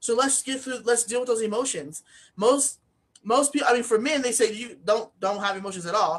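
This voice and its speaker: A woman mumbles at a fairly quick pace, her fairly high pitch showing ordinary variation. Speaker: author and speaking coach. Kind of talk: interview. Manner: slight mumbling, occasional slurred words; casual, many fillers.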